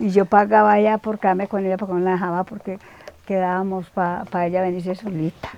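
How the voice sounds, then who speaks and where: A woman speaks quite quickly at a medium pitch, her intonation monotone and flat. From Colombia, Antioquia (Támesis rural). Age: 80s+. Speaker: elderly villager interviewee. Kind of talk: interview. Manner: halting.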